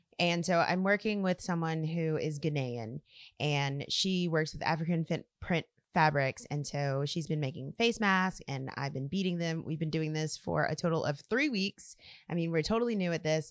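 A woman with an American accent speaks at a moderate pace and a fairly low pitch, her pitch varying in an ordinary way. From South Louisiana, US. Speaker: community organizer and artist. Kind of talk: interview conversation.

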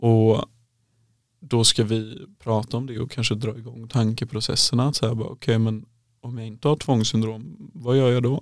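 A man's medium-pitched voice at a moderate pace, an unremarkable speaking voice, on a very clean recording with a silent background. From western Sweden (Halland). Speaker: psychologist in training. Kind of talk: casual interview.

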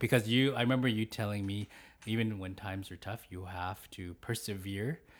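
In a very clean recording with a silent background, an unremarkable speaking voice goes at a fairly quick pace with fairly even intonation. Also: man, fairly low pitch for a man. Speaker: podcast host. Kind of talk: family interview; scripted intro. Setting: home studio.

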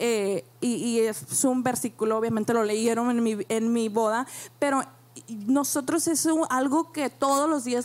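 A woman's high voice moves at a fairly slow pace. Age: young. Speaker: church member, mother. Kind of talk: panel talk.

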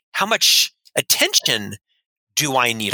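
In an American accent, the bright, sharp voice moves at a fairly slow pace, recorded dry and close with no echo. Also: man. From US South, Orlando, Florida. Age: 50s. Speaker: leadership consultant and author. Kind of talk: interview.

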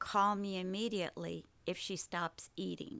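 In an American accent, a woman talks at medium pitch and a fairly slow pace. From Oklahoma, US. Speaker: military wife. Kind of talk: interview storytelling.

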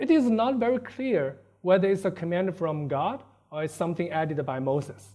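Speaking with a Chinese accent, a man has a high pitch and a dark, mellow tone. His intonation is lively. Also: moderate pace. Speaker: preacher. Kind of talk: sermon. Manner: halting.

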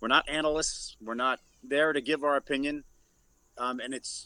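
A man talks with a New York accent. His voice sits fairly high and has a bright, sharp tone. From New York City (Bronx). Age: 50s. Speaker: radio news reporter. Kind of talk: casual chat. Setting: video call.

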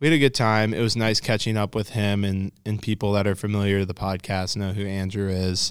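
In a very clean recording with a silent background, a man with an American accent and a normal speaking voice talks at a fairly quick pace with hardly any pauses, fairly even intonation, and a fairly low pitch. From out-of-state transplant to Colorado. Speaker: podcast host, fly fishing media. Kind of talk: casual interview chat.

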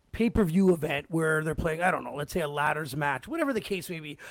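With lively intonation, a man speaks very fast. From Canada. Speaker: podcast host. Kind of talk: casual chat. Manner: animated.

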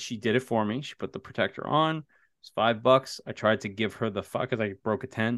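A man's medium-pitched, animated voice at a fairly quick pace with hardly any pauses, big swings in loudness, a dry, close sound with no echo, and a quiet background. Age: 30s. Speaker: horror author and teacher. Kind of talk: casual chat.

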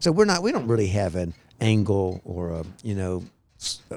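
A man with an unremarkable speaking voice talks at a moderate pace and a fairly low pitch. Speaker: podcast host. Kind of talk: casual chat. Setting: outdoors. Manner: rambling, chatty.

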